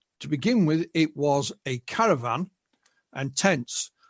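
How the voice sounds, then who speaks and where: Recorded with a dry, close sound and no echo, a man with an English accent talks in a fairly high, somewhat breathy voice with lively intonation. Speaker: UFO researcher and author. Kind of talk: interview.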